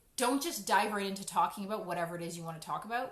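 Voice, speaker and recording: A woman speaks at a medium pitch with ordinary pitch variation. Room echo is audible around her voice. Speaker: educational coach for parents, former teacher. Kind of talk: educational talk to parents. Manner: fast; casual, conversational with fillers.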